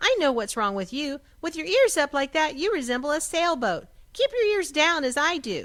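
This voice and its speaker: A woman puts on a squeaky character voice, high in pitch. She keeps a moderate pace. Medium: read story.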